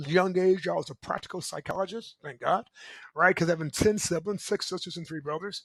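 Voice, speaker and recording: In an animated tone, a man speaks at a fairly quick pace with a high pitch and ordinary pitch variation, recorded with a dry, close sound and no echo. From US Midwest (Michigan City, Indiana). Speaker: motivational speaker and coach. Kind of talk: motivational talk.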